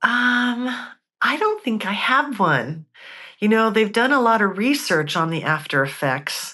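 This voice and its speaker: Her tone bright and sharp, a woman speaks at a medium pitch with very wide pitch swings. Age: 60s. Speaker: near-death experiencer. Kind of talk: interview testimony. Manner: animated.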